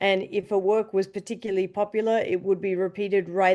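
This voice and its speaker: A woman's medium-pitched, dark and mellow voice in an Australian accent, fairly quick and monotone with flat intonation. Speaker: orchestra conductor. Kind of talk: interview.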